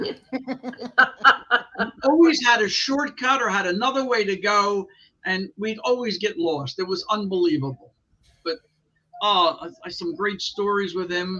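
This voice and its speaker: A man speaks in a high, raised, projected voice with lively intonation. His pace is fairly slow, broken by long, frequent pauses. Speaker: wrestling ring announcer. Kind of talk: interview answer, anecdote.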